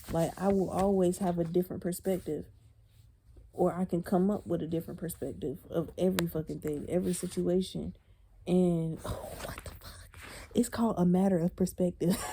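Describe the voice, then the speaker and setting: This woman has a fairly low pitch and a normal speaking voice. Her intonation is fairly even, and her pace is moderate. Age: 20s. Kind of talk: casual talk to camera. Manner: casual, conversational.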